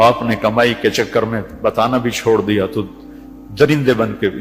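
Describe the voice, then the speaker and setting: Music plays behind a man talking. His pitch is medium, and his intonation stays fairly even. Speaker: Islamic preacher giving a sermon. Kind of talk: emotional religious sermon.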